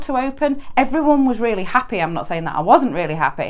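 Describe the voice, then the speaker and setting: With a Yorkshire accent, a woman speaks at a moderate pace in a fairly high pitch with very wide pitch swings. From northern England, Yorkshire. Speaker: permanent makeup artist and trainer. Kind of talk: solo podcast monologue.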